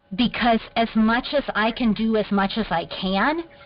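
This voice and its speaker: A fairly high-pitched woman's voice proceeds at a fairly slow pace against noticeable background noise. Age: young. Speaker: water aid worker. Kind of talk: casual chat. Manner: animated.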